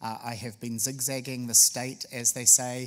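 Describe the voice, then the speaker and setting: A man with a New Zealand accent talks at a medium pitch and a moderate pace. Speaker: state tourism official. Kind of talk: public speech. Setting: luncheon with audience. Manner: frequent filler hesitations.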